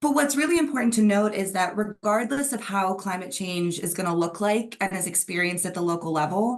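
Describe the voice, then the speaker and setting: With an American accent, a woman talks at a fairly quick pace in a normal speaking voice, her medium pitch carried by lively intonation. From Netherlands. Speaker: PhD researcher, expert speaker. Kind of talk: presentation to online dialogue. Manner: frequent filler um.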